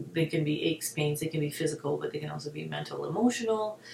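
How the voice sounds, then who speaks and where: Over noticeable background noise, a woman talks in a very deep, low pitch with ordinary pitch variation. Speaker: hypnotherapist and wellness video host. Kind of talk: casual spiritual talk to camera. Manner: fast; animated.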